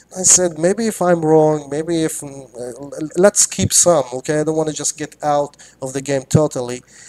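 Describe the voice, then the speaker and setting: A man with a non-native accent, fairly high pitch, ordinary pitch variation and a dark, mellow tone, at a moderate pace with hardly any pauses, big swings in loudness, and a dry, close sound with no echo. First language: not English. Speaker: crypto trader. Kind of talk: live stream talk. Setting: live video stream. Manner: halting, many fillers and repetitions.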